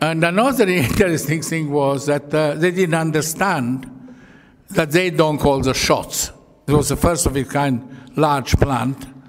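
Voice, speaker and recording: A man's fairly high-pitched voice at a fairly slow pace, with ordinary pitch variation and noticeable background noise. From Croatia (Yugoslavia). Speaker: Holocaust survivor, retired engineer. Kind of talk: public talk. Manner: halting.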